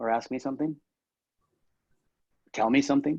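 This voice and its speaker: This is a man's voice. His pitch is medium. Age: 60s. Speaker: cheesemaker and food company founder. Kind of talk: casual interview. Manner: halting.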